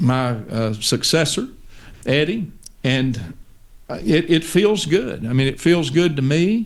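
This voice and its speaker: Speaking at a very slow pace in a Texan accent, a man uses a fairly high pitch and lively intonation. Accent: Texan Southern US. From East Texas, US. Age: 60s. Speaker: pastor. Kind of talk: interview conversation.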